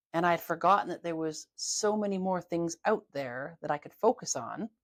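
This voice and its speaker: A woman's fairly low voice with a Canadian accent, an ordinary speaking voice, ordinary pitch variation and a moderate pace, in a dry, close recording with no echo and a very clean, silent background. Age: 50s. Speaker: holistic health therapist. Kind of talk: casual interview. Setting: video podcast.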